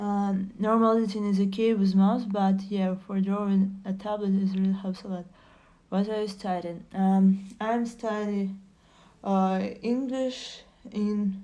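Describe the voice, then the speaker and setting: With a Russian accent, a woman speaks at medium pitch in a dark, mellow tone, her intonation monotone and flat. The pace is fairly slow, and audible room echo can be heard. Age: 20s. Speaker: streamer. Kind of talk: casual chat. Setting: live stream. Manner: halting.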